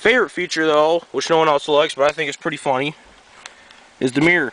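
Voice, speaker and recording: A man speaks with an American accent at a fairly high pitch. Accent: sounds slightly southern today. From New York (Greenwich). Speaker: vehicle owner vlogger. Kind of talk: casual walkaround video. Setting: outdoors. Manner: casual, hesitant with fillers.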